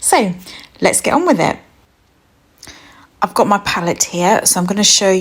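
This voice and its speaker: A woman speaks in a British accent at a medium pitch. Her tone is calm, with ordinary pitch variation. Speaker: art teacher. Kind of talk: tutorial. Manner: soft-spoken.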